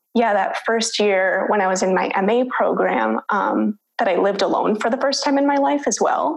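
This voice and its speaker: Delivered at a moderate pace with lively intonation, this is an unremarkable speaking voice with an American accent. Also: woman. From US Midwest, Minnesota. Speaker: PhD student and researcher. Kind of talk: interview conversation.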